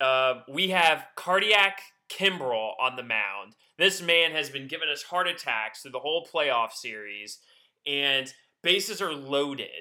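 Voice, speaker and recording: With an American accent and an unremarkable speaking voice, a man talks fairly slowly at a fairly high pitch, with lively intonation and big swings in loudness. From Georgia, US South (north of Atlanta). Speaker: sports podcast co-host. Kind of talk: casual chat.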